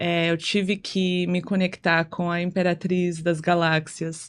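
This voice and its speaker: In a quiet background, a woman speaks at a very slow pace with a non-native accent. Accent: foreign, non-native Portuguese. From United States. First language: English (speaking Portuguese). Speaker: singer and content creator. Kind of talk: casual podcast chat.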